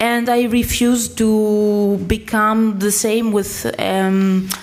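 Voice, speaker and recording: Noticeable background noise sits behind a woman speaking with a Greek accent. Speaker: writer. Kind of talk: panel discussion. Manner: halting.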